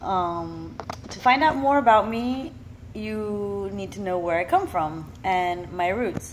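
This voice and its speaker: Audible room echo surrounds a woman with a Florida accent whose medium-pitched voice carries lively intonation. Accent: American, Florida. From Miami, Florida. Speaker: vlogger. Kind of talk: personal monologue. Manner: casual.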